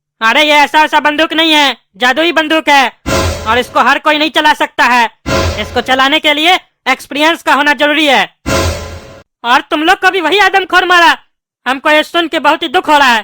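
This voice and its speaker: A cartoonish character voice rattles along at a fairly quick pace, broken by long, frequent pauses. Music plays in the background. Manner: gruff, scolding.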